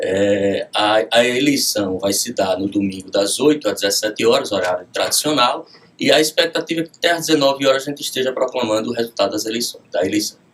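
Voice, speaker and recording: Against noticeable background noise, a man at medium pitch talks at a fairly quick pace with lively intonation and hardly any pauses. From Rio Grande do Norte, Brazil. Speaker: judge. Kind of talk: radio interview. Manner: formal.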